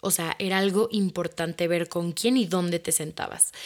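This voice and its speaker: With a Mexico City accent, a woman speaks at a medium pitch and a moderate pace, her pitch varying in an ordinary way. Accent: Mexican Spanish (Mexico City). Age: 20s. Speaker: podcast host and social media creator. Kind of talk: casual personal monologue.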